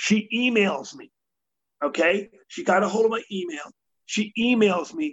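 A man with a New York accent talks at a high pitch in an animated tone with lively intonation. His pace is fairly slow, with long, frequent pauses and big swings in loudness. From New York City. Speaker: motivational speaker. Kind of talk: interview.

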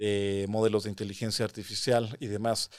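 On a very clean recording with a silent background, a man speaks in a fairly low voice with monotone, flat intonation. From Mexico City. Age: 30s. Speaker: composer and mathematician. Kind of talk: interview. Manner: halting.

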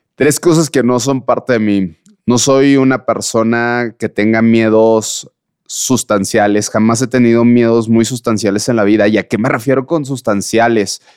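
A man's ordinary speaking voice at a medium pitch, fairly slow in pace, with fairly even intonation, very even loudness and a dry, close sound with no echo. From Mexico. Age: 30s. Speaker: blind mountaineer and ultra-endurance athlete. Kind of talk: casual interview.

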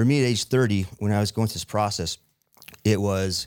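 In an American accent, a man with an ordinary speaking voice talks at a fairly low pitch with ordinary pitch variation, on a very clean recording with a silent background. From Utah, small town. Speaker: real estate investor. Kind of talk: interview.

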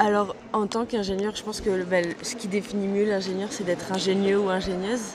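Over noticeable background noise, a woman speaks at a medium pitch and fairly quick pace in a monotone, flat intonation with hardly any pauses. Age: 20s. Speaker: apprentice engineer in leather tanning. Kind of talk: interview. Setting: trade fair stand.

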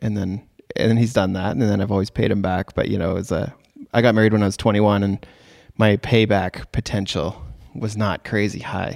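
In a Canadian accent, a man talks at a moderate pace, his fairly low voice held in a monotone, flat intonation. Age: 30s. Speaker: podcast host and wedding photographer. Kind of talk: casual interview.

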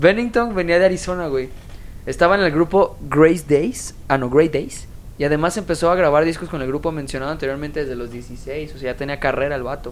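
Speaking at a fairly quick pace, a woman has a very deep, low voice. Her pitch varies in an ordinary way. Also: big swings in loudness. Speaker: podcast co-host. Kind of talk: casual chat. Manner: animated.

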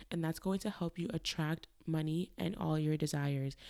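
At a moderate pace, a dark, mellow voice moves with ordinary pitch variation in a very clean recording with a silent background. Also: woman. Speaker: dietitian and podcast host. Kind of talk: solo podcast monologue. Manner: casual, conversational.

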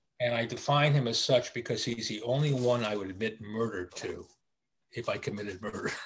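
This man talks at a fairly quick pace in a medium pitch, his voice somewhat breathy and his intonation fairly even. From US Virgin Islands (St. Thomas). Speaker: sales consultant. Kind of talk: casual interview. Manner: halting.

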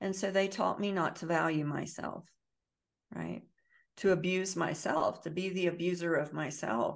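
The speaker has an American accent with vocal fry. The pace is moderate and the background quiet. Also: woman, fairly low pitch for a woman. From US South. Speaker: trauma healing educator and author. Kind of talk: interview.

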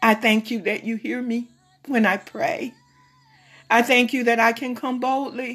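Speaking at a fairly slow pace, a woman uses an ordinary speaking voice pitched fairly high. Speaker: prayer leader. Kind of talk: fervent prayer. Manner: fervent, pleading, repetitive, with frequent 'oh God' interjections; slow, measured, pausing, reverent.

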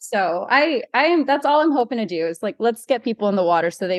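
In a dry, close sound with no echo and a quiet background, the speaker uses an animated tone, very wide pitch swings, and a fairly quick pace. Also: woman. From Hawaii. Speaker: underwater model and freediver. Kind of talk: casual chat.

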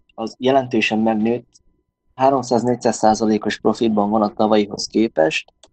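This man has a plain, everyday voice, medium in pitch, with fairly even intonation. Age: 20s. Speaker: volleyball player and sports store employee. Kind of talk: interview.

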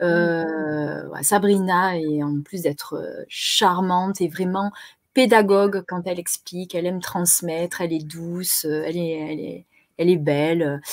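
Very slowly and with fairly even intonation, a woman speaks at a fairly low pitch in a very clean recording with a silent background. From southern France, Marseille. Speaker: web TV co-host. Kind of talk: casual chat. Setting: live stream.

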